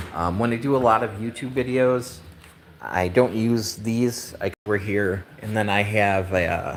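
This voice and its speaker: With a Midwestern accent, a man speaks at a moderate pace in a fairly low pitch, with ordinary pitch variation. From US Midwest, Wisconsin. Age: 50s. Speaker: woodworking maker. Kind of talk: live stream chat. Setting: workshop. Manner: casual, halting with fillers.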